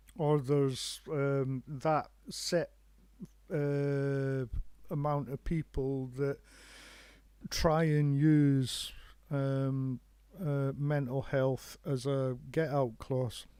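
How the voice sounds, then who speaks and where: On a very clean recording with a silent background, a man with a Scottish accent, a fairly high pitch and a dark, mellow tone speaks in a monotone, flat intonation at a very slow pace, with long, frequent pauses. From Scotland. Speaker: live stream host. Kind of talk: casual chat. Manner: halting.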